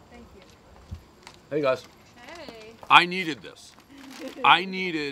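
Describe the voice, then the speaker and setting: Light noise sits in the background while a man talks. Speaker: food reviewer. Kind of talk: casual review commentary. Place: street.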